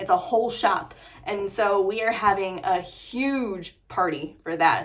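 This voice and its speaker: A woman talks in an animated tone with ordinary pitch variation. Audible room echo is present. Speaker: motorcycle vlogger. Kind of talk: casual vlog talk to camera. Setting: in her garage. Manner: fast.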